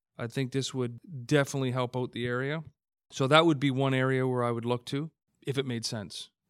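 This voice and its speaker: A man at a fairly quick pace, his intonation monotone and flat. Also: medium pitch for a man. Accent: Canadian. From Hamilton, Ontario, Canada. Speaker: city council candidate. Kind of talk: interview.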